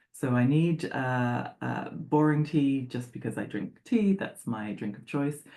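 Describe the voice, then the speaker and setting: A woman speaks with a very deep, low pitch and a dark, mellow tone. Her intonation is lively, her loudness swings widely, and she keeps a fairly slow pace with hardly any pauses. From England. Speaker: sports psychologist. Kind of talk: presentation. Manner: conversational with filler words.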